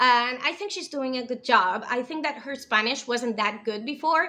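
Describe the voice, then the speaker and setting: In a non-native accent, a woman with a high pitch and a bright, sharp tone talks at a moderate pace in an animated way. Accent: imperfect English, non-native feel. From US, then Spain from age nine. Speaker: TV show reviewer, video creator. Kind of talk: casual review monologue. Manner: animated, with fillers and restarts.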